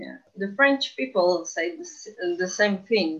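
In a Portuguese accent, a woman talks at a medium pitch. Her pitch swings very widely. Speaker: podcast co-host. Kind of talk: casual chat.

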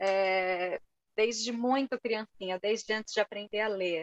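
A woman talks in a São Paulo accent with fairly even intonation. The sound is dry and close, with no echo. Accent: Brazilian Portuguese, Paulista. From Brazil, São Paulo. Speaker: writer and teacher. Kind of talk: casual interview.

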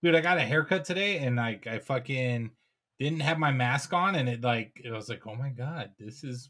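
A man speaks at medium pitch with a bright, sharp tone. The recording is very clean, with a silent background. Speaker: podcast host. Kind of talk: casual banter. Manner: joking, sarcastic.

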